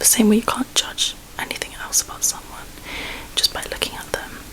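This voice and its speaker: Whispering in a relaxed tone, a woman speaks at a moderate pace over noticeable background noise. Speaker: ASMR creator. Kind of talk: ASMR ramble to camera. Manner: soft-spoken, whispered, relaxed.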